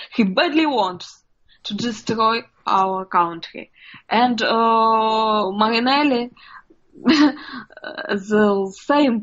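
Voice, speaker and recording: A woman speaks with a Russian accent. Her pitch varies in an ordinary way. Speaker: journalist. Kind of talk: interview. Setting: video call. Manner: halting.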